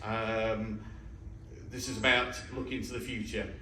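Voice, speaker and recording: Amid noticeable background noise and audible room echo, a man with an East Midlands accent talks at a medium pitch and a fairly slow pace. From Mansfield, North Nottinghamshire, England. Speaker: parliamentary candidate. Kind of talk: hustings speech. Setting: university hall with live audience.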